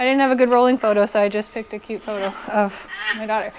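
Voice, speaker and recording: Fairly quick female speech against noticeable background noise. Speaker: chiropractor. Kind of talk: lecture. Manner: fast.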